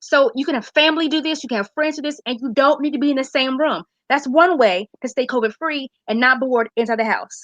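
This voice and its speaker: A woman talks at a fairly quick pace with hardly any pauses. Her pitch is high with ordinary variation, and the sound is dry and close with no echo. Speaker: public health segment presenter. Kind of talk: casual live-stream talk. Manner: fast. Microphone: unstable internet connection.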